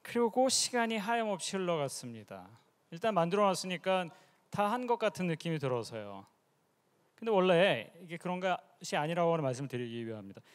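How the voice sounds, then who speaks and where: A man with a high-pitched voice talks at a fairly quick pace with very wide pitch swings, on a very clean recording with a silent background. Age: 50s. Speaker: professor and startup CEO. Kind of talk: conference presentation.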